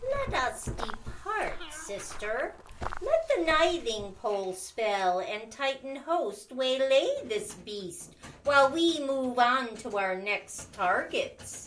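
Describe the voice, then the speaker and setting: A female-sounding put-on character voice comes through high in pitch. It moves at a very slow pace. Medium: audio drama. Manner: cold, calculating.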